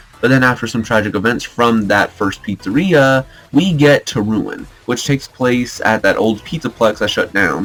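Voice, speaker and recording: Music in the background beneath a man's voice of medium pitch. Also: ordinary pitch variation, moderate pace. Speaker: gaming theory youtuber. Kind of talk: video essay commentary.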